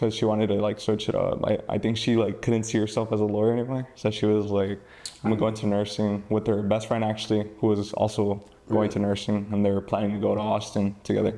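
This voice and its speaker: A man at a very fast pace, fairly low in pitch, with monotone, flat intonation and very even loudness, over noticeable background noise. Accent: American. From McAllen, Texas. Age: young. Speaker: podcast guest. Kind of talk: interview answer.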